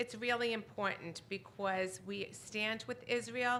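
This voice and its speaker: Loud and bright with a sharp tone, a woman's voice moves at a moderate pace with ordinary pitch variation amid audible room echo. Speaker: synagogue announcements leader. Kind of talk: congregational announcements. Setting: synagogue service.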